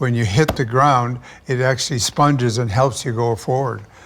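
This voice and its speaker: Noticeable background noise sits behind this man. His medium-pitched voice carries fairly even intonation. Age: 80s+. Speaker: triathlete. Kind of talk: interview answer.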